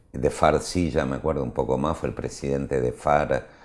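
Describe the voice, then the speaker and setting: This man's very deep, low voice moves at a fairly slow pace. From Buenos Aires, Argentina (northern suburbs). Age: 60s. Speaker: government official. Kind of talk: interview.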